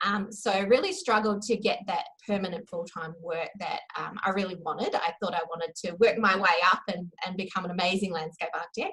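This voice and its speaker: A woman with a New Zealand accent, fairly quick and with hardly any pauses, over noticeable background noise. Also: medium pitch for a woman, fairly even intonation. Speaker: copywriter. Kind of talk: interview. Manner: hesitant, many fillers.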